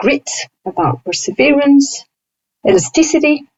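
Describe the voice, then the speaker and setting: A somewhat breathy woman with a non-native accent and very wide pitch swings. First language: not English. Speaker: higher education professional and instructional designer. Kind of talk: interview conversation.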